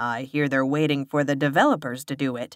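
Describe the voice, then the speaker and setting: In a put-on character voice, a woman growls at a very deep, low pitch, keeping a flat, monotone delivery at a fairly quick pace. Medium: read story. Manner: relaxed, familiar.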